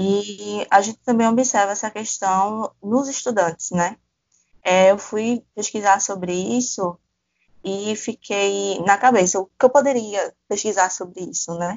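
Speaking at a fairly slow pace, a woman with a medium-pitched voice keeps her intonation fairly even. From Pernambuco, Brazil (Paudalho). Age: 20s. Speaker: podcast host, journalism student. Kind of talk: casual conversational podcast discussion.

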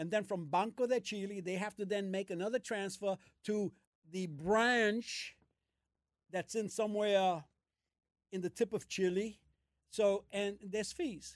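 In a New York accent, a man with a high pitch and an energetic tone talks at a fairly slow pace with long, frequent pauses, the sound dry and close with no echo. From US Northeast, Brooklyn. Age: 70s. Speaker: host's father. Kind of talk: casual chat. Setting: gym.

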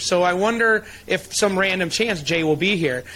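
The man's voice is high-pitched and animated, with ordinary pitch variation. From Michigan, US. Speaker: chiropractic advocacy leader. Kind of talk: interview storytelling.

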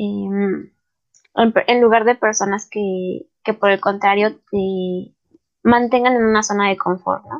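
Talking at a very slow pace, this woman keeps her medium-pitched voice at a fairly even intonation. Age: 20s. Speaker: math student. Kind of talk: casual interview chat.

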